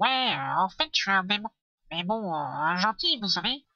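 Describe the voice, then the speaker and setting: A female-sounding put-on character voice at a middle pitch moves along at a moderate pace. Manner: casual, darkly amused.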